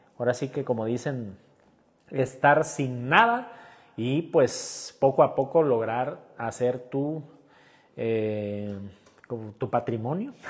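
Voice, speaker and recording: Speaking very slowly with long, frequent pauses, a man has a somewhat breathy voice at a medium pitch with ordinary pitch variation. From Mexico, Chiapas (Tuxtla Gutiérrez); Chiapas, Mexico. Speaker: street food content creator. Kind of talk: livestream chat reading viewer comments. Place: home room. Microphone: lapel.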